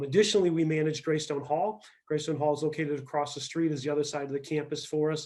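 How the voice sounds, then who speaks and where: Speaking very fast with a Midwestern accent, a man uses a dark, mellow tone at a fairly high pitch. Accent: US Midwest (Ohio). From Ohio, Akron. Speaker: tourism bureau executive. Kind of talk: speech to a club.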